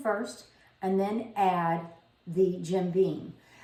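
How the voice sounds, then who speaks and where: A woman with an American accent speaks at a very slow pace. There is noticeable background noise and audible room echo. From South Louisiana. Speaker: home cooking video host. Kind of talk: cooking tutorial. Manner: casual, conversational.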